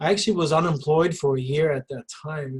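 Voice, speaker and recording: Somewhat breathy, a fairly high-pitched man talks at a fairly quick pace. His intonation is fairly even. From Sweden. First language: Swedish. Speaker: recruiter and career coach. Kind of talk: panel discussion. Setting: video call.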